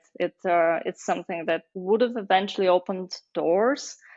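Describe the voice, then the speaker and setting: Using fairly even intonation, a woman with a Bulgarian accent speaks at medium pitch and a moderate pace. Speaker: marketing agency founder. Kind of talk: podcast interview. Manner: hesitant, many fillers.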